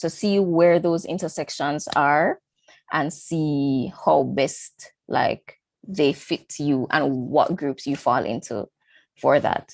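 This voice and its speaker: A woman's very deep, low voice with a Jamaican accent, ordinary pitch variation and a very slow pace, against a quiet background. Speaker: engineering student. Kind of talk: online panel talk. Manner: casual, many fillers.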